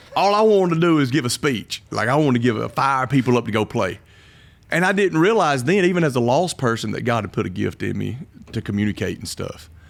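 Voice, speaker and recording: Very fast and animated, this voice carries a strong Southern accent and very wide pitch swings, on a very clean recording with a silent background. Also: man, medium pitch for a man. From Alabama (Kimberly area). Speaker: pastor. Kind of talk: casual interview.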